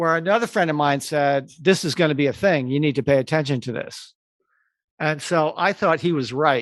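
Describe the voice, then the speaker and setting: A man speaks with an ordinary speaking voice at a fairly high pitch. His pace is moderate, and the background is quiet. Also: ordinary pitch variation. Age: 60s. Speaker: advertising creative. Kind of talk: interview.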